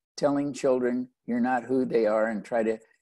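In a very clean recording with a silent background, a man speaks in a dark, mellow tone with lively intonation. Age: 70s. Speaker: author and speaker sharing testimony. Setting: radio interview.

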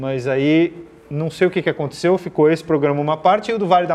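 Pitched fairly high, a man's voice moves at a moderate pace. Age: 40s. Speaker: automotive TV and YouTube presenter. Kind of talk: casual chat.

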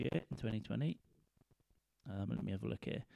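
This man has a British accent and lively intonation. He talks at a moderate pace. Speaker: comedian and podcaster. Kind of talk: casual solo monologue. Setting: lying in a dark cold room at home. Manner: rambling, laid-back.

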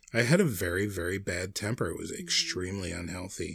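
The voice is somewhat breathy and moves at a fairly quick pace, on a very clean recording with a silent background. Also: man. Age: 40s. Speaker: podcast co-host. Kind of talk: casual chat.

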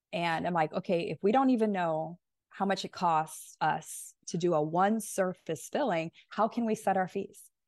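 A woman's medium-pitched voice at a moderate pace with ordinary pitch variation, over a quiet background with a dry, close sound and no echo. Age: 40s. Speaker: dentist and business coach. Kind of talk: interview. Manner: animated.

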